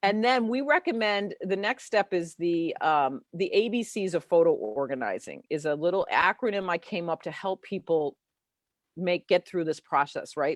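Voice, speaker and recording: A woman with an American accent and a medium pitch, lively intonation, a dry, close sound with no echo, and a quiet background. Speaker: founder of a photo organizing association and author. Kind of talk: interview on a live show, explaining a method. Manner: fast; animated.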